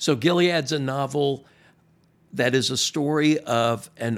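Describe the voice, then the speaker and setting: In an American accent, a man talks at a very slow pace with ordinary pitch variation. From US South, Miami. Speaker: pastor. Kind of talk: casual chat. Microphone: new microphone.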